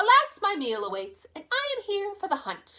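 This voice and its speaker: A woman's squeaky, put-on character voice, extremely high in pitch, at a moderate pace. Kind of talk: bedtime story. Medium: read story. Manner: pompous, formal.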